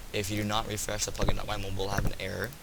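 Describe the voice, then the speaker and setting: With audible room echo and noticeable background noise, a man speaks at a very fast pace with fairly even intonation. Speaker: Minecraft plugin tutorial maker. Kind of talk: tutorial. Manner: halting, many fillers and repeats.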